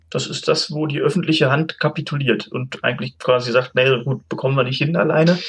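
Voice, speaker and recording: A man talks at a fairly quick pace with hardly any pauses, his pitch fairly high and somewhat breathy. His pitch varies in an ordinary way. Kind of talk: casual chat.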